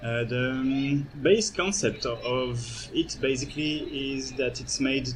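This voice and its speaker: Speaking at a very slow pace, a man is heard with audible echo from the room. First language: not English. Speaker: architect and software developer giving a demo. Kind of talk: conference presentation with live software demo. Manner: halting, many fillers.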